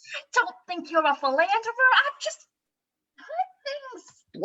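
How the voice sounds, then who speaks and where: A woman uses a squeaky, put-on character voice pitched extremely high, with a nervous tone. Her pitch swings very widely as she speaks at a fairly slow pace. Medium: stage play. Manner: nervous, rambling.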